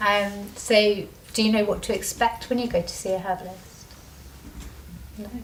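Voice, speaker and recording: Over noticeable background noise, a soft-spoken woman talks at medium pitch and a moderate pace in a flat monotone, with long, frequent pauses. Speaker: medical herbalist. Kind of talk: talk to a small group. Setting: small group meeting with audience.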